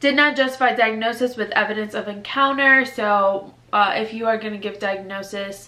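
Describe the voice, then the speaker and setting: A woman's medium-pitched voice, animated, with a bright, sharp tone and audible room echo. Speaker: newly graduated doctor, medical video creator. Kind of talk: casual advice vlog. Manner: fast; casual, animated.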